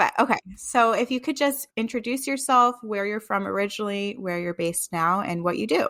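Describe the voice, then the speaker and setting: A woman with an American accent at a fairly high pitch, a bright, sharp tone, a fairly quick pace and hardly any pauses. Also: lively intonation. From New York. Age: 20s. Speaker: podcast co-host. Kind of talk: casual chat. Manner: casual, filler-heavy.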